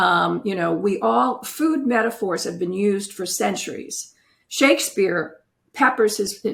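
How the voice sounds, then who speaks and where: A woman speaks at a fairly slow pace with a medium pitch. Her intonation is lively, with vocal fry. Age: 70s. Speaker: retired family lawyer and author. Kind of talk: interview.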